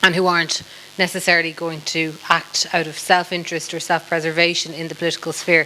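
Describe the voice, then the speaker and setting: A woman with an Irish accent speaks over noticeable background noise, her loudness rising and falling sharply. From Ireland. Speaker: politician, former member of parliament. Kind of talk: panel discussion. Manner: hesitant, many fillers.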